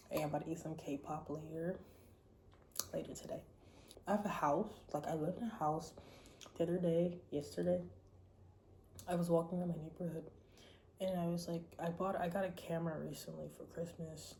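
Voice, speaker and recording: A woman talks at a fairly quick pace in a fairly low pitch, her dark, mellow tone carrying vocal fry and monotone, flat intonation, with long, frequent pauses and audible room echo. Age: 20s. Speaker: vlogger. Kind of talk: casual monologue vlog. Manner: casual, rambling with fillers.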